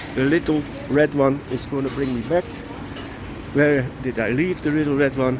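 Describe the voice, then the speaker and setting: A man with a Dutch accent and a fairly high pitch, long frequent pauses, and noticeable background noise behind him. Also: fairly even intonation, moderate pace. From Netherlands. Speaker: vlogger. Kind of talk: casual vlog monologue. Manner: halting.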